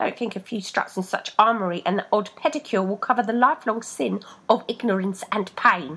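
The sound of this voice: Unforced voice, reading.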